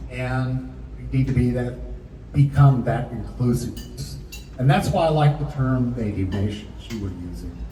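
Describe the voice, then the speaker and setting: Male speech at a moderate speed amid noticeable background noise and audible room echo. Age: 70s. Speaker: audience member at Q&A, anthropologist. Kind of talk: public Q&A comment. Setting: community panel event with audience.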